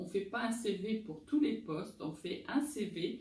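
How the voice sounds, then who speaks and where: Very slow and full of vocal fry, a woman's voice sits fairly high in pitch with a dark, mellow tone and lively intonation. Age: 50s. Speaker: recruiter and job-search coach. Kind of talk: advice talk answering viewer questions.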